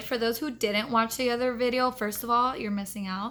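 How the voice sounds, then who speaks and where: A woman's fairly high, bright, sharp voice with fairly even intonation. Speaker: tarot reader. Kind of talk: tarot reading vlog. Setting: hotel room.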